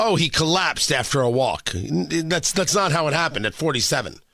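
This man has a fairly high pitch and a bright, sharp tone. He talks at a moderate pace with vocal fry. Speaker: radio host. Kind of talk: talk radio monologue. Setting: radio studio.

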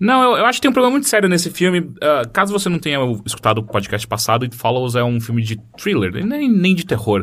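Racing at a very fast pace, a man with a fairly high pitch swings very widely up and down. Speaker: podcast host. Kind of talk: casual chat.

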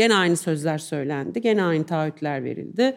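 A woman's plain, everyday voice with lively intonation at a moderate pace, in a very clean recording with a silent background. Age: 50s. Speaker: journalist. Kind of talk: live podcast interview. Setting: live recording with audience.

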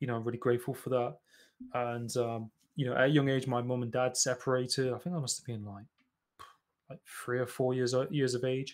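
A man talks at a fairly quick pace with an East Midlands accent and a medium pitch. His intonation is monotone and flat, with music in the background. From England, East Midlands (Nottingham). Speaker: podcast host. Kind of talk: casual interview. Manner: hesitant, many fillers.

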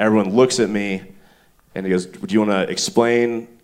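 A man's ordinary speaking voice at medium pitch, with an American accent and a fairly quick pace. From US South, Stone Mountain, Georgia. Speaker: comedian and writer. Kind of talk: live podcast banter on stage. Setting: stage with live audience.

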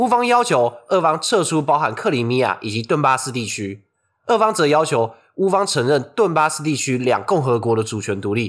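A man speaks at a moderate pace with a fairly high pitch and very wide pitch swings. The recording is very clean, with a silent background. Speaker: podcast co-host. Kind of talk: scripted discussion of news. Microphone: non-studio recording, sharper thinner sound.

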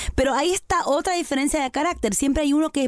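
A woman talks with an Argentine accent over noticeable background noise. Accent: Argentine Spanish (voseo). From Argentina. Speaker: podcast co-host. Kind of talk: casual chat.

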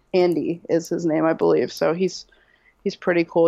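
A woman speaks with an American accent in a dark, mellow tone. Her intonation is monotone and flat against a quiet background. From central Massachusetts. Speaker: hockey fan, podcast guest. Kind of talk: casual chat. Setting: remote call.

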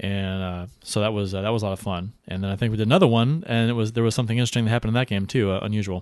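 Energetic and upbeat, a man talks at a very fast pace in a medium pitch against a quiet background. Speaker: podcast host. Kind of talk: radio-style live post-game show, sports talk. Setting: live broadcast, studio. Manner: energetic, upbeat broadcaster patter, then venting and irritated.

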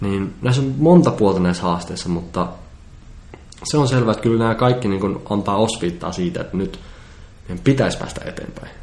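Amid audible room echo, a man talks at a moderate pace with lively intonation and long, frequent pauses. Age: 20s. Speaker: composer, futurist and public speaker. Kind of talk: casual interview chat.

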